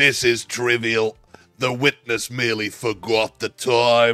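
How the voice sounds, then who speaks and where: Putting on a character voice, a man speaks at a fairly slow pace in a raspy, medium-pitched, monotone, flat delivery while faint music plays in the background. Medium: fan dub. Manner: dismissive.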